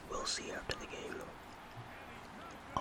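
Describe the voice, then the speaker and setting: A man whispers over noticeable background noise. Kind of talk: whispered gaming commentary. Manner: whispered.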